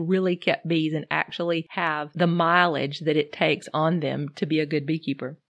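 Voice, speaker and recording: Fairly low in pitch, a woman speaks at a moderate pace with ordinary pitch variation. The sound is dry and close with no echo, over a quiet background. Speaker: beekeeping podcast host. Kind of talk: solo podcast talk, partly read from notes. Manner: reading off notes.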